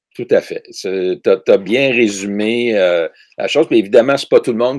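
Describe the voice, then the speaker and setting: Dry, close sound with no echo from a man talking at a moderate pace. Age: 60s. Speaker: ecologist, author and teacher. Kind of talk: interview conversation.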